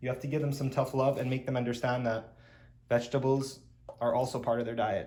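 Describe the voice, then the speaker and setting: In a room with audible echo, a man with a fairly high, somewhat breathy voice speaks at a fairly quick pace. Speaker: pet-keeping YouTuber. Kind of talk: tutorial. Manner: casual.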